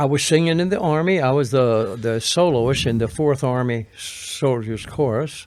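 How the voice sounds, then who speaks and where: Hardly any pauses break up this moderate-paced speech, which has ordinary pitch variation and very even loudness. Noticeable background noise runs underneath. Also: man, medium pitch for a man. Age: 80s+. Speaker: retired singer and balloon pilot. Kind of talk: interview. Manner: halting.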